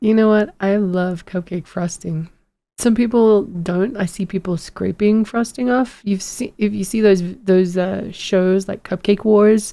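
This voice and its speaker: The tone is dark and mellow, with fairly even intonation. Delivery runs at a fairly slow pace. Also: woman, medium pitch for a woman. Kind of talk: casual chat. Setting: podcast recording.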